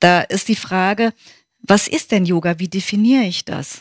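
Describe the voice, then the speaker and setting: A woman talks at a fairly slow pace with ordinary pitch variation in a normal speaking voice. The recording is very clean, with a silent background and a dry, close sound with no echo. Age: 50s. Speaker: yoga teacher and physiotherapist. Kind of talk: interview.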